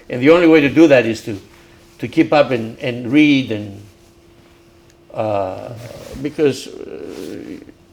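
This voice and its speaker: A man's medium-pitched voice at a fairly slow pace, with ordinary pitch variation, big swings in loudness and long, frequent pauses over noticeable background noise. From Crete, Greece. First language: Greek. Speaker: civil engineer and community leader. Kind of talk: oral history interview. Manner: halting, repeats words.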